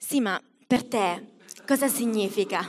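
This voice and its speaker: Her pitch varies in an ordinary way as the woman talks at a very slow pace. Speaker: stand-up comedian. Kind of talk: stand-up comedy. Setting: stage with audience. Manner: animated; comic crowd work with self-mocking jokes. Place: stage. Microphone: handheld.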